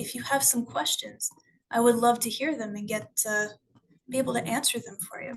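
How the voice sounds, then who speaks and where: A woman speaks in a fairly high voice, her loudness swinging widely. She leaves long, frequent pauses. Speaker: school board staff presenter. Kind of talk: virtual information session presentation. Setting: video call. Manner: fast.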